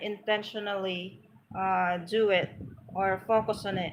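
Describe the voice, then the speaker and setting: The speaker has a Filipino accent and a monotone, flat intonation. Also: woman. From Philippines, Pangasinan. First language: Pangasinan. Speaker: vlogger teaching spoken English. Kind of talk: live stream talk to viewers. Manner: halting, with fillers.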